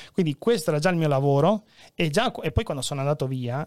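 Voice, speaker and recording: Recorded with a dry, close sound and no echo, the speaker talks very fast with ordinary pitch variation. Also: man, very clean recording, silent background. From Venezuela, Peruvian father, Friulian mother. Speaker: journalist, fact-checker. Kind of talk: casual chat.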